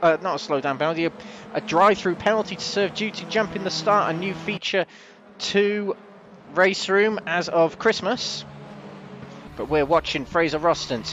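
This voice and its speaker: Here a man talks at a moderate pace in a high voice with ordinary pitch variation. Noticeable background noise can be heard. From Wales, parents from the Midlands. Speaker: sim racing commentator. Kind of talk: live commentary. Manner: animated.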